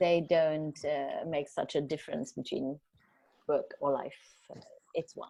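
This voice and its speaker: A woman with a German accent speaks at a fairly slow pace. Her speech has long, frequent pauses. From Germany. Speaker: journalist. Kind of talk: talk. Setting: video call. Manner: halting, many fillers.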